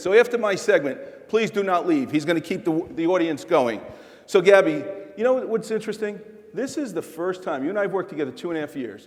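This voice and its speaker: Over noticeable background noise, a man with a New York accent speaks at a very fast pace with lively intonation. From New York City. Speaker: corporate executive keynote speaker. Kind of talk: keynote on-stage chat. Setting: stage with audience. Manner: animated.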